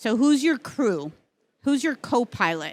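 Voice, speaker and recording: A woman speaks in an animated tone at a fairly slow pace, recorded very cleanly against a silent background. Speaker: branding consultant, session presenter. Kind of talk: conference presentation. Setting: stage with audience.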